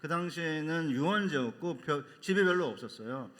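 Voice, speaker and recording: Amid audible room echo, a man speaks with a bright, sharp tone at a fairly high pitch. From Seoul, South Korea (born in North Chungcheong). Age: 60s. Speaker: seminary professor and pastor. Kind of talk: sermon.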